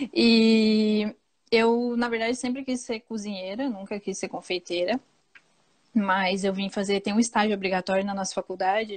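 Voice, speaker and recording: Speaking at a moderate pace, a woman with a southern Brazilian accent and a fairly high pitch keeps her intonation fairly even. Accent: gaúcho (southern Brazilian). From Rio Grande do Sul, southern Brazil. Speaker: pastry chef. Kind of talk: casual interview chat.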